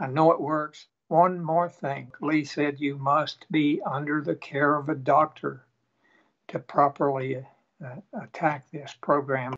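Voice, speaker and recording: Monotone, flat delivery with an East Tennessee accent. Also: man. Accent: Southern American (East Tennessee). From Tennessee, USA. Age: 80s. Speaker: retired Air Force pilot. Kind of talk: interview answer, patient testimonial.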